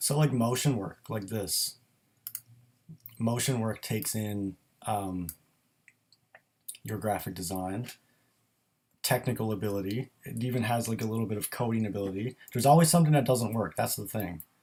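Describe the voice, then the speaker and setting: A man at a medium pitch and moderate pace, with ordinary pitch variation and long, frequent pauses. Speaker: graphic designer. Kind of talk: live stream Q&A. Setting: live stream. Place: home room. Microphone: built-in microphone.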